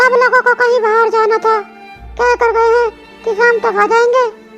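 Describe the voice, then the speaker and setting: Over clear music in the background, a woman in a cartoonish character voice speaks at an extremely high pitch with monotone, flat intonation and a fairly quick pace. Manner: soft, polite.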